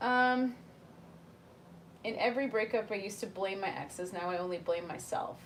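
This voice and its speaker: Over noticeable background noise, a woman with a medium-pitched voice speaks in an animated tone, broken by long, frequent pauses. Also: ordinary pitch variation, moderate pace. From South Africa in early childhood, then elsewhere. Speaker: YouTuber live-streaming chat with viewers. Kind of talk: casual livestream chat.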